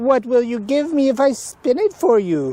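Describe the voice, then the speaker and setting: A put-on character voice comes at a moderate pace with fairly high pitch. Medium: read story.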